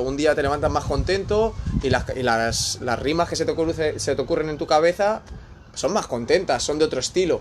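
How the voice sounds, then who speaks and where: Noticeable background noise surrounds a man with a fairly high pitch who talks at a moderate pace with ordinary pitch variation. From Spain. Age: 20s. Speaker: aspiring musician, former DJ. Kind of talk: casual chat.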